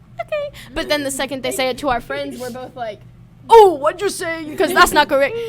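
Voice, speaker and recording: A woman's high-pitched voice at a fairly quick pace, with lively intonation, big swings in loudness and noticeable background noise. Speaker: college student, podcast guest. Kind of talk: casual chat.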